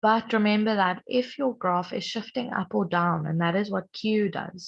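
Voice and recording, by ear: Her voice, a woman's, has a slightly husky edge and vocal fry.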